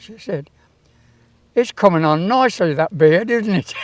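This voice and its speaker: Fairly slow speech in a British accent, on a very clean recording with a silent background. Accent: British English, casual spoken. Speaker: town crier, former Yeoman Warder and sergeant major. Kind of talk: interview answer, anecdote about meeting the Queen.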